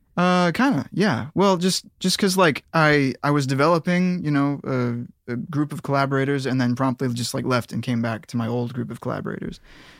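A man with a fairly high pitch talks in a normal speaking voice at a fairly quick pace, with ordinary pitch variation. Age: 30s. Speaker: music producer. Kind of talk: casual chat.

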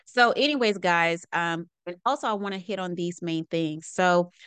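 Dry and close with no echo over a quiet background, an ordinary speaking voice carries ordinary pitch variation. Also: woman. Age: 30s. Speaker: podcast host and packaging consultant. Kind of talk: solo podcast monologue. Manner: casual, conversational.

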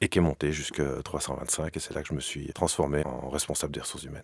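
This man's voice has vocal fry. He talks at a fairly quick pace. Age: 30s. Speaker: entrepreneur, former HR director. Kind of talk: interview.

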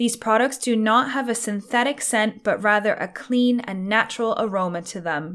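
This woman uses a normal speaking voice with fairly high pitch, ordinary pitch variation and a moderate pace. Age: 30s. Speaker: hair care podcaster. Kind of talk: product review. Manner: scripted reading.

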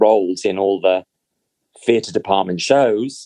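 With a British accent, a man talks at a moderate pace and with ordinary pitch variation. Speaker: actor. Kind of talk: casual chat. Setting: video call.

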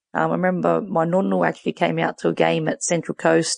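A woman speaks with an Australian accent, the sound dry and close with no echo. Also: quiet background. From Western Sydney, Australia. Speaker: football coach and former player. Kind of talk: interview.

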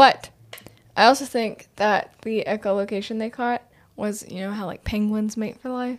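Here is a plain, everyday voice, a woman's, at a fairly high pitch and a moderate pace. Her intonation stays fairly even while her loudness swings widely. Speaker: podcast guest panelist. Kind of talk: casual chat.

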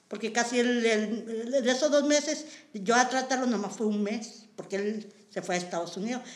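Amid noticeable background noise and audible room echo, a woman speaks at a moderate pace with a fairly high pitch and ordinary pitch variation. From Mexico, San Luis Potosí (Matehuala). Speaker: community center worker. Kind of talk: personal testimony interview.

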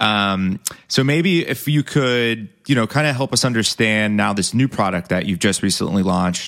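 A man with a normal speaking voice talks at a moderate pace with hardly any pauses and very even loudness. His fairly low pitch has lively intonation. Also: very clean recording, silent background. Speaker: podcast host. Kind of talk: casual interview.

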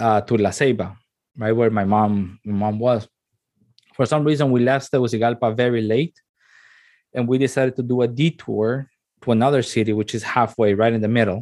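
Against a quiet background, a man with a Spanish accent talks with fairly even intonation. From Honduras. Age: 30s. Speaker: radio host. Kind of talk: casual interview. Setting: video call. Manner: halting, many fillers and repetitions.

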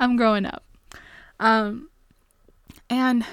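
With a Canadian accent, a woman speaks in a high pitch. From Canada. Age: 20s. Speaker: podcast host. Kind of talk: casual chat. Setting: late at night. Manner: frequent laughter.

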